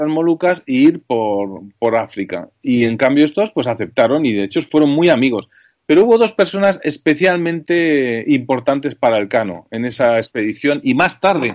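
Against a quiet background, a man talks at a moderate pace with hardly any pauses. His fairly high pitch moves through very wide swings. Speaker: television director. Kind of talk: radio interview.

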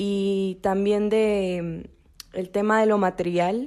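This is a woman with an unremarkable speaking voice at a medium pitch. Her intonation is fairly even, on a very clean recording with a silent background. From Peru. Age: 20s. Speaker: university student, missionaries' daughter. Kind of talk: testimony.

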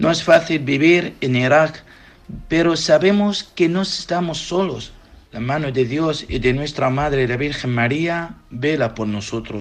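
A man with a normal speaking voice, fairly high pitch, ordinary pitch variation and a fairly slow pace. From Iraq. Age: young. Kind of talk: interview answers.

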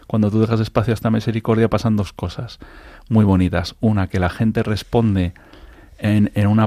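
Recorded very cleanly against a silent background, a man talks at a fairly quick pace in a dark, mellow, fairly low voice with monotone, flat intonation. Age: 40s. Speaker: charity founder. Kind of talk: radio interview. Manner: halting.

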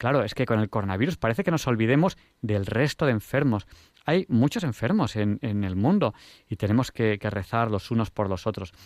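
Recorded dry and close with no echo and a silent background, a man with an unremarkable speaking voice talks at a fairly quick pace, his medium pitch carried by lively intonation. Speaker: radio host. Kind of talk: radio talk show. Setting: radio studio.

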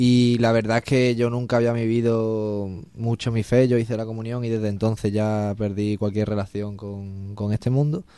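Speaking at a moderate pace with hardly any pauses, a man has a dark, mellow tone, medium pitch and monotone, flat intonation on a very clean recording with a silent background. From Spain, Extremadura (Badajoz). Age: young. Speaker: university student, volunteer. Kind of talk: interview testimony.

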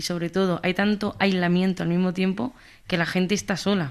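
Speaking in an Andalusian accent, a woman keeps a monotone, flat intonation. Her pitch is medium and her pace moderate. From Andalusia, Jaén. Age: 20s. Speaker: communications manager for youth group. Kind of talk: radio interview. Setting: studio.

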